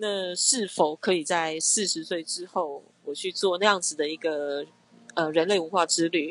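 A woman's fairly low voice, a normal speaking voice, at a fairly slow pace with fairly even intonation. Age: 30s. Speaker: skincare brand founder. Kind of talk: interview conversation.

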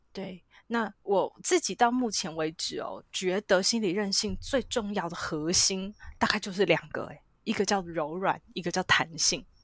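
Recorded very cleanly against a silent background, a woman speaks fairly slowly at a medium pitch with ordinary pitch variation. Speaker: psychologist. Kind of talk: interview. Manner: animated.

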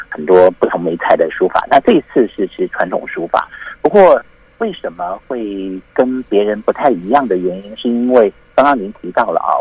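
A man speaks at a moderate pace. The sound is dry and close, with no echo. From Taiwan, military dependents' village. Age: 50s. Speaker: calligrapher and university lecturer. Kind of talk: interview.

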